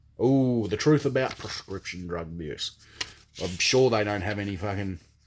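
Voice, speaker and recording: This man has an Australian accent and a fairly low pitch. He speaks at a moderate pace with ordinary pitch variation. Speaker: comedian. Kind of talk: casual talk to camera. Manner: casual, profane, joking.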